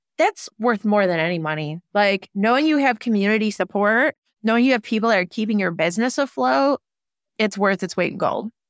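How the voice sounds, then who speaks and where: A woman's ordinary speaking voice, medium in pitch with lively intonation and very even loudness, moves at a fairly quick pace in a very clean recording with a silent background and a dry, close sound with no echo. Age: 30s. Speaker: small business owner and massage therapist. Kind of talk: casual interview conversation.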